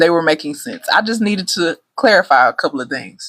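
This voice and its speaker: The speaker has a Texas accent. The intonation is lively. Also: woman. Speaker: travel agent. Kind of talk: casual live stream talk. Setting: livestream. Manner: loud, excited.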